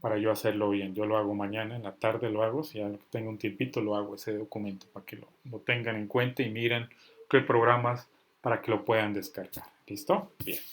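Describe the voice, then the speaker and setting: A man talks at a fairly quick pace. His pitch is fairly low and his intonation fairly even. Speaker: software instructor. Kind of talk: online class. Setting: video call. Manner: stern, forceful.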